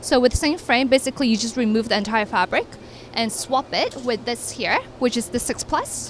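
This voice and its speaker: Fairly high-pitched and fairly quick, a woman speaks in an ordinary speaking voice, the sound dry with no echo and light background noise. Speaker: stroller brand representative. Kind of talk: product demonstration chat. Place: hall. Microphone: handheld.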